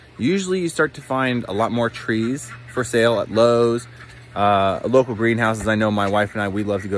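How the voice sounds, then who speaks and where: Light noise sits behind the recording, which is dry and without echo. The man speaks fairly quickly. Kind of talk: casual vlog chat. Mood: upbeat, joking. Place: garden. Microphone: phone near.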